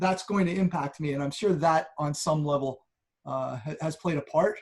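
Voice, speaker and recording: Speaking at a moderate pace, a man uses a fairly high pitch with ordinary variation. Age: middle-aged. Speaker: church member. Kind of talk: interview. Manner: halting.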